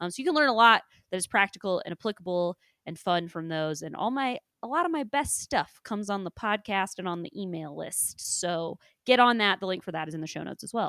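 Speaking with a Midwestern accent, a woman has a medium pitch, a bright, sharp tone and an animated tone, with lively intonation, big swings in loudness and a fairly quick pace. The recording is very clean with a silent background and a dry, close sound with no echo. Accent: Midwest US. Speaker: podcast host and climbing coach. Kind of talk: casual chat. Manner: laughs often, animated.

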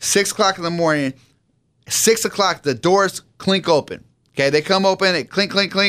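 A man with an American accent speaks at a moderate pace in a high pitch, his tone bright and sharp and his pitch varying in an ordinary way. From San Diego, California. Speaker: pastor. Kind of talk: radio interview, personal testimony. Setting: radio studio.

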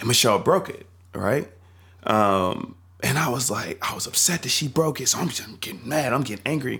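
A man's medium-pitched, bright, sharp voice with an American accent, an animated tone, lively intonation and a fairly quick pace. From North Carolina. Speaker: church youth leader. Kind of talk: casual chat.

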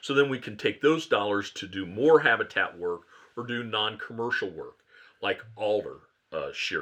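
Moving at a moderate pace, a man with an American accent makes big swings in loudness. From Ohio. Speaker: auctioneer and conservation fundraiser. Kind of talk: casual interview chat.

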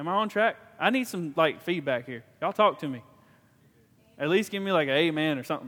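Lively in intonation and fairly high in pitch, a man talks at a very fast pace broken by long, frequent pauses. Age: 30s. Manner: rambling, halting.

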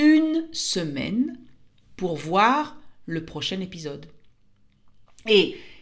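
Here a woman talks. The room echo on her voice is audible. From France. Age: 50s. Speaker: French teacher and podcaster. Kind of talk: language-learning monologue. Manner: clear and slow.

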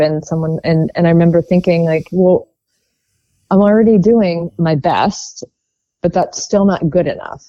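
With an American accent, a woman talks at a moderate pace in an unremarkable speaking voice, fairly low in pitch with ordinary pitch variation. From US, Baltimore, Maryland. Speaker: former competitive swimmer in recovery. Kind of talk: personal recovery testimony.

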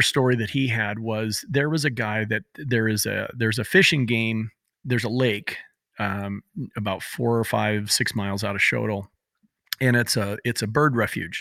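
A man talks at a medium pitch with ordinary pitch variation in a plain, everyday voice. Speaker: podcast co-host. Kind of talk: casual chat. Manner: joking, chatty.

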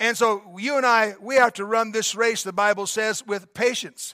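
In a very clean recording with a silent background, a man speaks in a high, raised, projected voice with a bright, sharp tone. The sound is dry and close with no echo, and his ordinary pitch variation comes at a moderate pace. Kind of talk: pep talk. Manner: fervent, exhorting, urgent; repetitive, emphatic, rallying the crowd.

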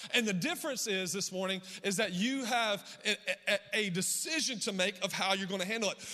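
Over noticeable background noise, a man speaks in a raised, projected voice at a high pitch. His tone is animated, his pace fairly quick and his pitch variation ordinary. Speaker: pastor. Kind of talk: sermon.

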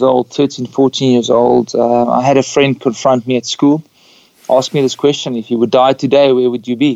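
Speaking at a moderate pace, a man with a South African accent and a medium pitch keeps his intonation fairly even. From Namibia. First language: Afrikaans. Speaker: pastor and singer-songwriter. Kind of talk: casual interview.

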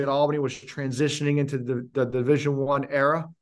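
This man talks at a fairly quick pace in an energetic tone with a fairly high pitch. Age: 40s. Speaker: leadership coach, former pro basketball player. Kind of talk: interview.

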